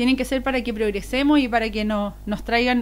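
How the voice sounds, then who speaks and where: Against background music, a woman speaks in an animated tone at a fairly quick pace, with ordinary pitch variation. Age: 30s. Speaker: political candidate. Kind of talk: interview. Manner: fast; fluent, animated.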